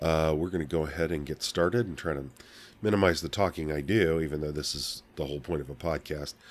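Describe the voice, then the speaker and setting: In a very clean recording with a silent background, a man with a very deep, low voice and vocal fry speaks at a very fast pace with ordinary pitch variation. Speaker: podcast host. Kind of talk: bible reading podcast. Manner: halting.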